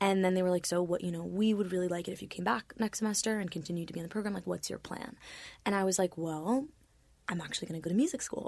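A medium-pitched woman with an American accent at a very fast pace, with ordinary pitch variation. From Florida. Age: 20s. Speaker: musician. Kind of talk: casual chat. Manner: soft-spoken.

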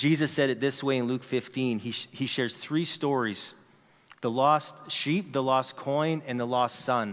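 Using a plain, everyday voice, a man speaks at a medium pitch and a fairly slow pace with fairly even intonation. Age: 40s. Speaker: pastor. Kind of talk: sermon. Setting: church.

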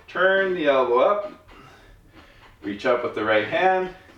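Against noticeable background noise, a man speaks very slowly with very wide pitch swings. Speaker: yoga teacher and podcast host. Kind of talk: guided yoga class, step-by-step spoken pose instructions. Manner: calm, repetitive cueing, gently repeating instructions; earnest, uplifting, slightly rambling with filler words.

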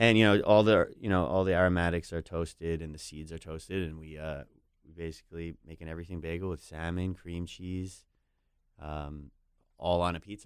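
A man's very deep, low voice at a fairly quick pace, fairly even in intonation, with big swings in loudness, on a very clean recording with a silent background. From New York. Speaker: chef. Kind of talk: interview. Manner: halting, many fillers.

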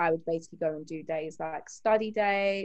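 Pitch varies in an ordinary way while the delivery keeps a moderate pace. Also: woman. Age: 20s. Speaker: HR associate and beauty business owner. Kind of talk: casual interview.

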